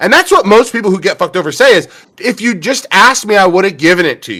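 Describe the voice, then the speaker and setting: A man speaks loudly at a very fast pace. His tone is bright and sharp. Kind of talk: casual chat. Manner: loud, expressive.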